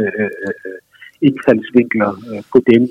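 A man talks at a medium pitch. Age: 50s. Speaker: musician and author. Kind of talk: phone interview. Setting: phone call. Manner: hesitant, many fillers.

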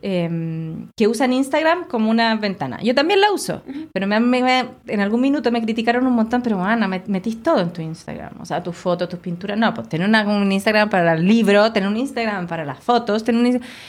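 Talking at a very fast pace with hardly any pauses, a woman with a Chilean accent uses a fairly high pitch and lively intonation. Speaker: visual artist. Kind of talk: casual chat.

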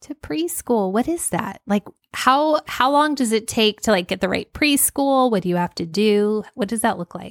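An ordinary speaking voice at a fairly slow pace with lively intonation, dry and close with no echo, on a very clean recording with a silent background. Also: woman. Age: 40s. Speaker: podcast co-host, homeschooling mother. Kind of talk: casual chat. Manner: laughs often.

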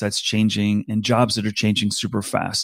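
Over a very clean, silent background, a man with an American accent and an unremarkable speaking voice talks at a medium pitch and a moderate pace, the sound dry and close with no echo. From US East Coast. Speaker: talent advisor. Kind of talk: interview.

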